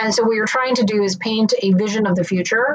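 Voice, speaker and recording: The speaker has a plain, everyday voice with fairly even intonation. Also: woman. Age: 30s. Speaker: marketing executive. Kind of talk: interview.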